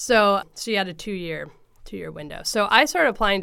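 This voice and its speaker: A woman with a West Coast accent speaks at a fairly quick pace in a bright, sharp tone. Her pitch varies in an ordinary way on a very clean recording with a silent background. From US Pacific Northwest, Oregon (Coos Bay, Portland area). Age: 30s. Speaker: runner and running coach. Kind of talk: casual interview. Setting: in person, close together.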